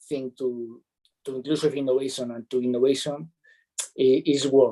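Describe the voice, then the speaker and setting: A dark, mellow tone with a Spanish accent comes through in a dry, close sound with no echo. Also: man. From Spain. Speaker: startup accelerator mentor. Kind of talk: webinar interview. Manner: halting, many fillers.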